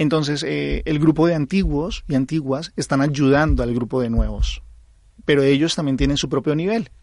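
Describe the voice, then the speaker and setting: A man with a Colombian accent, fairly high in pitch, at a moderate pace with ordinary pitch variation. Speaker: aikido instructor. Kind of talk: interview.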